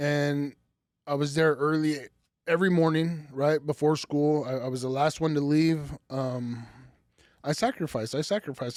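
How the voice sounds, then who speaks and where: A man in an American accent speaks with an ordinary speaking voice, fairly high in pitch. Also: very clean recording, silent background. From Idaho, US. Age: 30s. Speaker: business owner and former prisoner. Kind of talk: interview.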